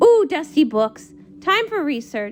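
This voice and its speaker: In a put-on character voice, the speaker talks at a fairly slow pace, high-pitched and squeaky, with very wide pitch swings. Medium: read story. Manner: bubbly, excitable.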